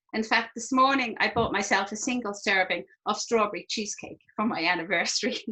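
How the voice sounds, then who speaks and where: A woman with a plain, everyday voice speaks at a fairly quick pace and fairly high pitch, with ordinary pitch variation and hardly any pauses. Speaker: product demonstrator. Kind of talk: product demonstration.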